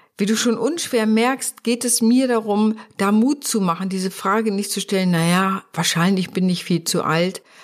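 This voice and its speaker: Ordinary pitch variation and a moderate pace in a woman's fairly high voice, a plain, everyday voice. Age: 60s. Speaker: podcast host, business coach and psychologist. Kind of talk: solo podcast monologue.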